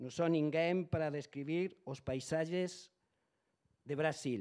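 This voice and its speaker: This man speaks with a non-native accent at a fairly high pitch. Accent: non-native Portuguese, weak. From Spain. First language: Spanish (speaking Portuguese). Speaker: foreign correspondent. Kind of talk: reading aloud a prepared talk. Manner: halting.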